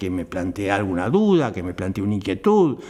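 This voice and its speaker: A man is speaking. His pitch swings very widely. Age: 80s+. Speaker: theatre actor and director. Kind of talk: interview.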